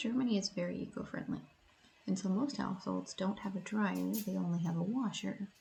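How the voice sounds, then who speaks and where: A woman's medium-pitched, dark and mellow voice with vocal fry, ordinary pitch variation and a moderate pace. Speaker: language teacher. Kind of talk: vlog narration.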